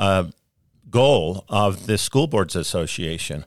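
A man with a plain, everyday voice speaks at a fairly slow pace, his fairly low pitch carried by lively intonation over a very clean recording with a silent background. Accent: American. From US West, rural Utah and northern Arizona. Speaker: former state senator. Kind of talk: interview. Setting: studio.

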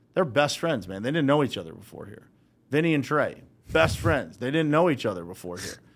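A man at medium pitch with an American accent, vocal fry, a fairly quick pace, very wide pitch swings and big swings in loudness. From Western Pennsylvania, Uniontown. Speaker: business founder. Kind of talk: casual interview. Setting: studio.

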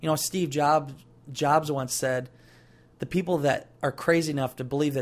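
A man with a fairly high voice talks at a moderate speed. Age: 20s. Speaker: podcast host, entrepreneur. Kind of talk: motivational monologue. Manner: animated.

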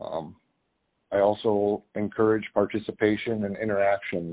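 A man with a fairly low pitch talks in an Upper Midwest accent. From North Dakota. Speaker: cattle rancher and farmer. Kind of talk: interview. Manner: halting, many fillers.

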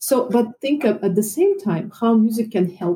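Her voice is fairly high for a woman, dark and mellow in tone, and somewhat breathy. She speaks with lively intonation in a Russian accent. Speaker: violin and piano teacher. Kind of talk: casual chat.

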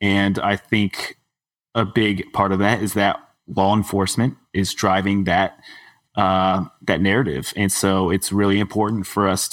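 A man with an American accent at a fairly slow pace, in a very clean recording with a silent background. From Texas. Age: 30s. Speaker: dark sky nonprofit staffer. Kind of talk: casual panel discussion.

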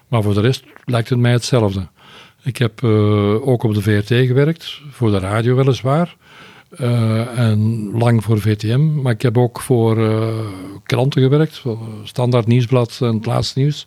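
At a fairly slow pace, the speaker uses a normal speaking voice with fairly even intonation and very even loudness. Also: man, medium pitch for a man. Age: 60s. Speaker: retired foreign correspondent, journalist. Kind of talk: interview.

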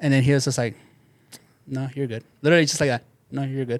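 Very fast speech in an American accent with monotone, flat intonation. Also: man. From Southeast Los Angeles (Bell), California. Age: 30s. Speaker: sneaker store manager. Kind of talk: casual chat.

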